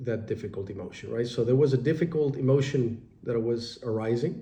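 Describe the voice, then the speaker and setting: A man's somewhat breathy voice with a dark, mellow tone and ordinary pitch variation. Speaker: meditation teacher and life coach. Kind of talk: spoken reflection on meditation. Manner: hesitant with many fillers.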